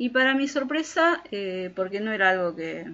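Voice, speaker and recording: This woman's medium-pitched voice has a bright, sharp tone and lively intonation. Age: 40s. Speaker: podcast co-host. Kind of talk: casual chat.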